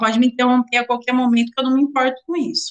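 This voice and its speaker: A woman is speaking. Her pitch is high. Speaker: teacher of occupational safety. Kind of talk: lecture.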